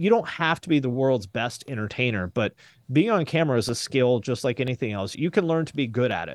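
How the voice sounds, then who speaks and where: A man with a medium pitch speaks in a plain, everyday voice, his intonation lively. The sound is dry and close with no echo, and the background is quiet. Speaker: YouTube creator and music commentator. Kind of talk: casual interview chat. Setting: video call. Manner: self-deprecating, humorous.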